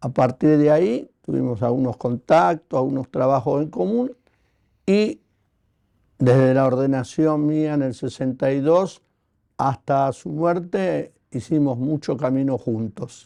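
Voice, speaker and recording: A man with a fairly high pitch, a dark, mellow tone and ordinary pitch variation at a fairly slow pace, in a dry, close sound with no echo. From Buenos Aires, Argentina. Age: 80s+. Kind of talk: interview. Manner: hesitant, many fillers.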